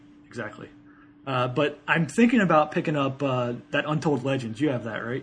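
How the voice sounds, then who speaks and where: A man with an American accent talks at a moderate pace, his pitch fairly high and its variation ordinary. Noticeable background noise runs behind him. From Ohio. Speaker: podcast co-host, video game talk. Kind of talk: casual banter.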